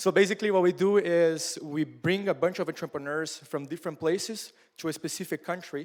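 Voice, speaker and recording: High for a male, a man's voice whose pitch varies in an ordinary way. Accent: Portuguese. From southern Brazil, Curitiba. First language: Portuguese. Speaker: startup founder and mentor. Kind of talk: workshop talk. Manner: casual, with many fillers.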